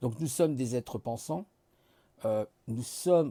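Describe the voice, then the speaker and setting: A man's lively intonation at a fairly slow pace, with a dry, close sound and no echo. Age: 50s. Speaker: vlogger. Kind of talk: casual monologue. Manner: relaxed; halting.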